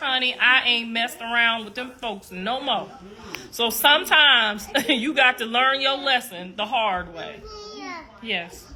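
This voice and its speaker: A woman speaks with a high pitch and ordinary pitch variation at a fairly slow pace. Her loudness swings widely, and there is noticeable background noise. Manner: lifelong voice, not a cold; chatty, addresses audience directly.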